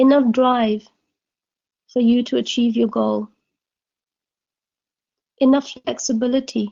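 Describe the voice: The voice is dark and mellow with vocal fry, moving slowly and with little pitch movement. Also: woman.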